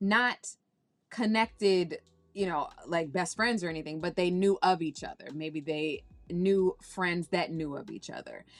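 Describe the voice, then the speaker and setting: A woman with an American accent speaks in a plain, everyday voice at a fairly slow pace and medium pitch, with ordinary pitch variation, big swings in loudness and a quiet background. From Washington, D.C. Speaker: actress. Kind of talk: interview.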